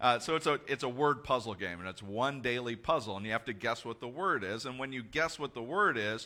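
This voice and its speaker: A loud man with a bright, sharp tone, lively intonation and a moderate pace. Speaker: pastor. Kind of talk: sermon. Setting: church.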